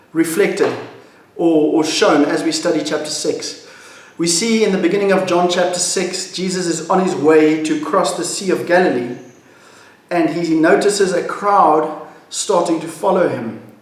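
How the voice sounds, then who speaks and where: Amid noticeable background noise and audible room echo, a man talks at a moderate pace in a high pitch with fairly even intonation. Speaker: pastor. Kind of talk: devotional teaching.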